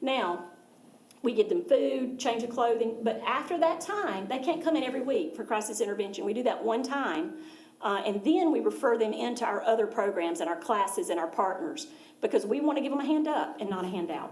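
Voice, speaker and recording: A woman with an American accent speaks at a fairly high pitch, her pitch swinging very widely. Audible room echo and noticeable background noise surround her. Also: fairly quick pace. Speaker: nonprofit charity representative. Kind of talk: presentation to a school board. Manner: fast.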